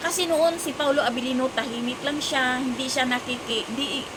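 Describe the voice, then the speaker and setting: A loud voice at a moderate pace with ordinary pitch variation, amid noticeable background noise and audible room echo. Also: woman. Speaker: vlogger. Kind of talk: casual showbiz chat vlog. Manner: loud, raising voice over rain.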